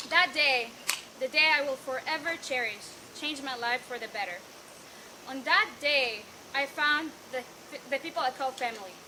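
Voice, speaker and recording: A woman in a raised, projected, high voice at a moderate pace, with long, frequent pauses and noticeable background noise. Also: ordinary pitch variation. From Israel, Bat Yam. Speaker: graduating student. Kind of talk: farewell speech. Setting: event with audience.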